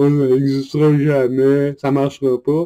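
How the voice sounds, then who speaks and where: A man speaks in a Quebec accent with a dark, mellow tone. The sound is dry and close with no echo. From Quebec, Montreal. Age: 40s. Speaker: online group leader. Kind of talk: monologue video address. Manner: animated.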